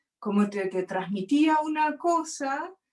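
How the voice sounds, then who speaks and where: A woman speaks with a Rioplatense accent. Her pitch swings very widely. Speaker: interview guest. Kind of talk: casual conversation.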